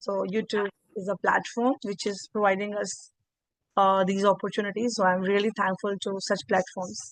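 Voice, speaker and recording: A woman with an Indian accent, medium pitch, fairly even intonation and a moderate pace, in a dry, close sound with no echo against a quiet background. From India, Uttar Pradesh. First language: Hindi. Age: 20s. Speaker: English learner and YouTuber. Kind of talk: conversation practice. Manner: halting.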